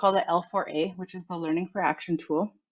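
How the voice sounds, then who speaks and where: This woman has a normal speaking voice, a medium pitch, and ordinary pitch variation. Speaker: workshop facilitator. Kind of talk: online workshop presentation. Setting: online video conference.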